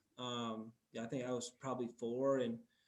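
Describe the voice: In a room with audible echo, a man speaks at a medium pitch and moderate pace, his slightly mellow tone showing little pitch movement.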